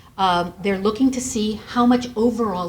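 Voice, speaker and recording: A woman with an American accent, fairly high-pitched and somewhat breathy, with ordinary pitch variation. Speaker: credit bureau representative. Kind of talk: seminar presentation. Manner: fast.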